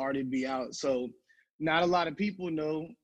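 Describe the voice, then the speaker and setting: A man with a normal speaking voice and a fairly high pitch speaks with ordinary pitch variation against a quiet background. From New Jersey, moved to US South. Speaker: rapper and filmmaker. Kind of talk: interview.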